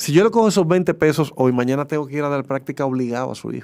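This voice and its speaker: Against a quiet background, a man speaks very fast in a fairly high pitch with ordinary pitch variation. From Dominican Republic. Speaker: sports broadcaster; interview guest. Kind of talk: casual interview. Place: studio.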